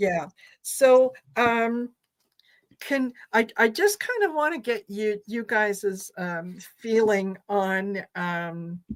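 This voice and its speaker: At a very slow pace, a woman with an eastern Canadian accent speaks in a fairly high pitch with ordinary pitch variation. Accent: noticeable accent in eastern Canada. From Croatia. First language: Croatian. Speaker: tarot reader, co-host. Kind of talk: casual chat. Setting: live stream.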